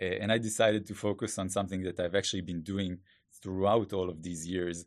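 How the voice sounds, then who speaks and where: Over a quiet background, a man with an Israeli accent speaks at a very deep, low pitch with fairly even intonation. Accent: Hebrew-accented English. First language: Hebrew. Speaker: growth hacker and startup founder. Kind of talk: interview. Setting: studio.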